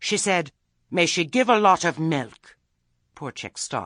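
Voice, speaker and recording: A man puts on a character voice, high-pitched and with lively intonation, moving at a fairly slow pace with big swings in loudness. The sound is dry and close with no echo, over a quiet background. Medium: read story. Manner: anxious, weak.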